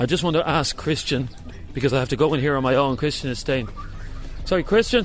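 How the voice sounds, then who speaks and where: Speaking very fast yet with long, frequent pauses, a man with a fairly high pitch is heard in audible room echo. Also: ordinary pitch variation. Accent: Dublin. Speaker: radio host. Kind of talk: live on-location radio report. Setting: outdoors at a monastery, then inside a church. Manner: whispering in church.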